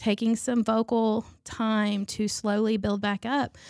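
A woman's fairly high voice at a very slow pace, on a very clean recording with a silent background. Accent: Southern US. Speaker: church member and guest co-host. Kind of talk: casual chat. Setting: studio.

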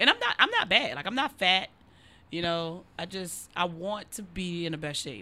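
A woman speaks at a moderate pace with a bright, sharp tone, lively intonation and a fairly low pitch. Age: 30s. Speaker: comedian podcast co-host. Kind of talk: casual chat. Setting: garage.

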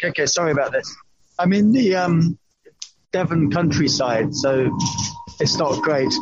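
With music in the background, a man talks at a moderate pace. His pitch is high. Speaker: podcast host calling in. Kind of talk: casual chat. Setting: phone call from a bus. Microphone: bad reception, wearing a mask.

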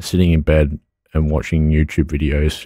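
A man with an Australian accent speaks in a very deep, low voice with a dark, mellow tone, in a very clean recording with a silent background. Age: 20s. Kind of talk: interview. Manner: halting.

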